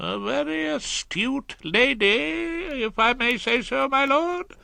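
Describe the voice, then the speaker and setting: Using a put-on character voice, a man speaks high at a fairly slow pace with very wide pitch swings. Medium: read story. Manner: deferential.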